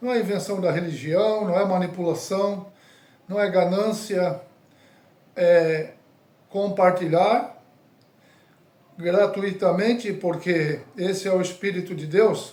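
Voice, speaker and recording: Pitched high, a man speaks at a very slow pace with long, frequent pauses. His intonation stays fairly even. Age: 60s. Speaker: evangelist. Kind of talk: sermon.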